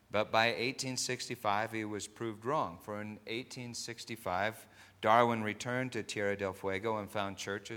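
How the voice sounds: Here is a natural reading voice. Its intonation is fairly even.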